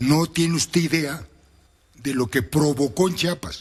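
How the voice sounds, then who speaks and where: Very slowly, a man speaks in a somewhat breathy, fairly high voice. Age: 70s. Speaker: former government official and author. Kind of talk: radio interview.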